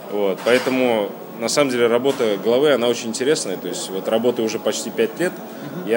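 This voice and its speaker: At a very fast pace and medium pitch, a man talks over noticeable background noise with audible room echo. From Kazan, Tatarstan, Russia. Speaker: district head, local official. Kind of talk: interview. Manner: hesitant, many fillers.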